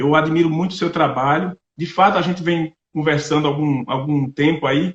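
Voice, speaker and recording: In a northeastern Brazilian accent, a man speaks at a moderate pace with a fairly high pitch and fairly even intonation. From Brazilian Northeast, Paraíba. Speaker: agronomist and agribusiness representative. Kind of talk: online lecture.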